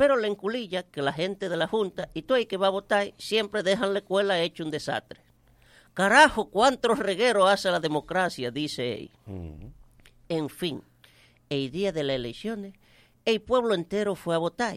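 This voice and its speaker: Pitched high with very wide swings, a man talks at a moderate pace. The sound is dry and close with no echo, on a very clean recording with a silent background. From Dominican Republic, Santiago countryside. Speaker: comedian. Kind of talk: stand-up.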